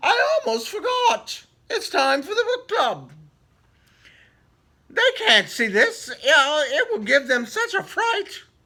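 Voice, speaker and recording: A squeaky, put-on character voice at an extremely high pitch moves at a fairly slow pace with long, frequent pauses. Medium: read story.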